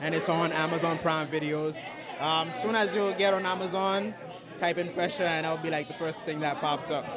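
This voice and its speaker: With a slight Haitian accent, a man speaks at a high pitch with fairly even intonation. Crowd noise and audible room echo fill the background. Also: moderate pace, very even loudness. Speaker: filmmaker and content creator. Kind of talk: casual interview. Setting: networking event. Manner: halting.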